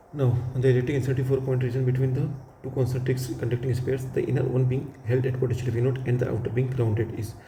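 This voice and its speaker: Someone talks at a very fast pace, with audible room echo around the voice. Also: man. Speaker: physics teacher. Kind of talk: lecture.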